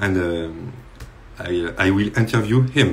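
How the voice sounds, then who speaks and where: With a French accent, a man speaks in a very deep, low pitch at a fairly slow pace. His intonation is lively, and room echo can be heard. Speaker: live stream host. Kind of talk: interview. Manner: halting.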